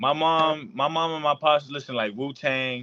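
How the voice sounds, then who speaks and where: With music in the background, a man speaks at a moderate pace with ordinary pitch variation. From US, Puerto Rican and Dominican family. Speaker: podcast host and rapper. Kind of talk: casual interview.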